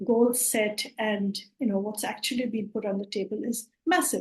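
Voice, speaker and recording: A woman with a Bengali accent at a moderate pace. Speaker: climate justice network organiser. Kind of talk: online presentation. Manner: hesitant, many fillers.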